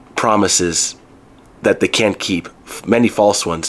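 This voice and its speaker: Noticeable background noise sits behind a man talking at a moderate pace in a fairly low pitch. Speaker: counselor, self-help video host. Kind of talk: solo talk to camera. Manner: loud; halting.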